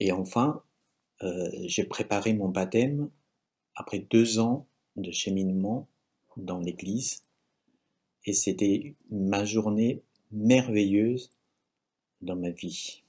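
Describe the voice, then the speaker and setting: A man with a Chinese accent and a fairly low pitch, very slow pace, long, frequent pauses and ordinary pitch variation, in a very clean recording with a silent background. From China. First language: Chinese (speaking French). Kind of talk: religious teaching talk with testimony. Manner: halting.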